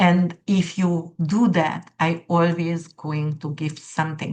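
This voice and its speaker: A woman with a non-native accent speaks in a monotone, flat intonation. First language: not English. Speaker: astrologer. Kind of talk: casual monologue to viewers. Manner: halting, many fillers.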